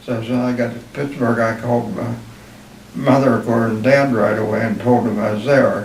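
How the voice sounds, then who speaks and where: Speaking with a western Pennsylvania accent, a man at a medium pitch keeps a moderate pace amid noticeable background noise and audible room echo. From western Pennsylvania, Armstrong County. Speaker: war veteran. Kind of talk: oral history interview.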